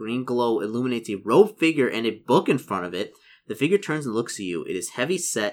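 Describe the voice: What is heard here is plain reading aloud.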